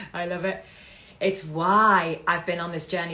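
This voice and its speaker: With a bright, sharp tone and a fairly low pitch, a woman speaks amid audible room echo. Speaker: business coach. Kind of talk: live stream talk. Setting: livestream.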